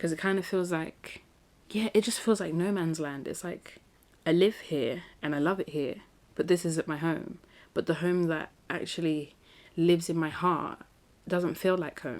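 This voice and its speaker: A woman with a London accent speaks at a fairly low pitch, varying it in an ordinary way. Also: moderate pace. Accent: British (London). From South London, England. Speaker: podcast host. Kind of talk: casual monologue. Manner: animated.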